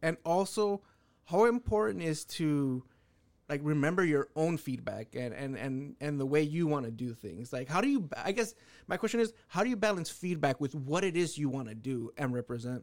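Very wide pitch swings mark this man's fairly high voice at a moderate pace, captured in a very clean recording with a silent background. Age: 30s. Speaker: podcast host. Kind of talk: casual chat.

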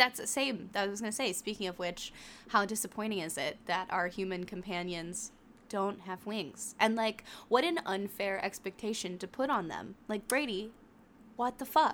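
A woman at a medium pitch talks in a normal speaking voice with ordinary pitch variation and a moderate pace. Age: 20s. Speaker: podcast co-host. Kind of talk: casual chat.

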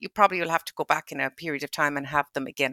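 A bright, sharp tone comes through. The sound stays dry and close, with no echo. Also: woman. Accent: western Irish. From Ireland, County Mayo. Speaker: pharmacist. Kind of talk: casual chat.

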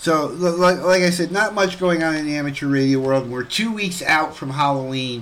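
Noticeable background noise sits behind a man whose fairly high pitch shows ordinary variation as he speaks at a moderate pace with hardly any pauses. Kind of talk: casual radio host banter and announcements. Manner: relaxed, chatty, cheerful.

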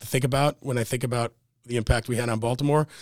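A man speaks at medium pitch with an American accent in an unremarkable speaking voice. The recording is very clean, with a silent background. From US Mid-Atlantic (Maryland, after Buffalo until 15). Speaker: real estate developer. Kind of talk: casual interview.

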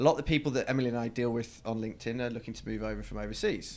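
In a very clean recording with a silent background, a man with a British accent speaks at a very fast pace. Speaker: podcast host, recruiter. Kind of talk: casual interview.

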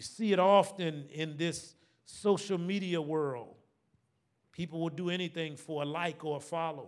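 Speaking with an American accent, a man has a high pitch, a moderate pace and fairly even intonation. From Savannah, Georgia (US South, Gullah Geechee background). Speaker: pastor. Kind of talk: sermon. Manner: call-and-response preaching.

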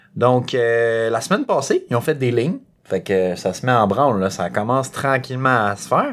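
The recording is very clean with a silent background. A man talks at a moderate pace and medium pitch, with ordinary pitch variation. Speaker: podcast host. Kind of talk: casual chat.

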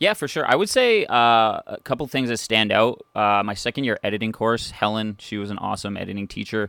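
With a Canadian accent, a man talks at a fairly quick pace with hardly any pauses, in a dry, close sound with no echo on a very clean recording with a silent background. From Ontario, Canada (North Bay). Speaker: video editor and content creator. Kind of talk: interview.

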